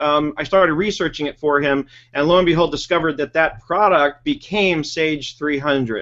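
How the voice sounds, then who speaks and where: An American accent marks a man's ordinary speaking voice, fairly high in pitch, at a moderate pace with ordinary pitch variation. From New York. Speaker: webinar host, bookkeeping trainer. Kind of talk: casual chat.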